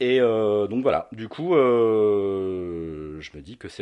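Over a quiet background, a man speaks at a fairly low pitch with a dark, mellow tone. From North Africa (Algeria, Tunisia). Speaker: e-cigarette shop owner. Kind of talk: interview. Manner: hesitant, many fillers.

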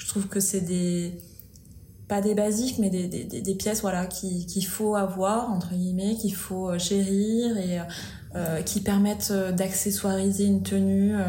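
Her pitch medium and her intonation monotone and flat, a woman speaks at a fairly slow pace amid audible room echo. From Auvergne, France. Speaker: style and decor blogger. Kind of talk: casual chat. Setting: office. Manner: hesitant, many fillers.

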